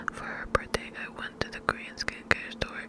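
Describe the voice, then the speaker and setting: Noticeable background noise runs under a whisper that moves at a fairly quick pace. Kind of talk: story reading. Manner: whispered.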